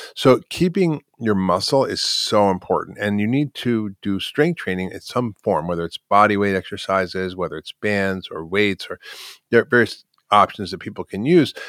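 A man uses an ordinary speaking voice at a fairly low pitch with ordinary pitch variation and a moderate pace, in a dry, close sound with no echo on a very clean recording with a silent background. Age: 60s. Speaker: physician and author. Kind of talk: interview.

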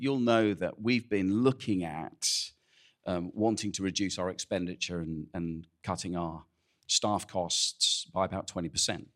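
In a very clean recording with a silent background, a man speaks at a fairly slow pace in a very deep, low voice with ordinary pitch variation. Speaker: church pastor. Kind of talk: casual welcome and announcements. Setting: church.

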